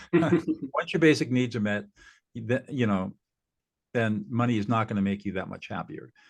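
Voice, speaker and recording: A man with a Californian accent speaks at a medium pitch and a moderate pace. His pitch rises and falls in an ordinary way. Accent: Californian American. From Southern California. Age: 70s. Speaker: mediator and former lawyer. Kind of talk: interview.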